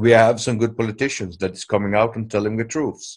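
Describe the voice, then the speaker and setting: A man speaks at a moderate pace in a medium pitch. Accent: non-native. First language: not English. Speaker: commentator on world affairs. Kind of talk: video call commentary; casual chat. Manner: unscripted, hesitant with fillers.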